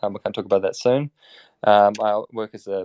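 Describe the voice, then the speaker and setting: Talking at a fairly quick pace, a man with a New Zealand accent uses a fairly low pitch. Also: dry, close sound with no echo. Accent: New Zealand, self-described as terrible. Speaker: crypto startup operations lead, former software dev. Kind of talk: casual interview chat. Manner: mumbling, by own account; halting, many fillers.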